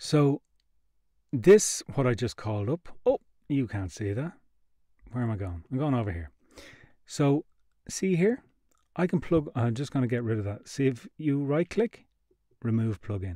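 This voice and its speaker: In a dry, close sound with no echo, a man with a dark, mellow tone and medium pitch talks at a moderate pace, his pitch swinging very widely, with long, frequent pauses. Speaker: podcast software demonstrator. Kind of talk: tutorial. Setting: live stream webinar.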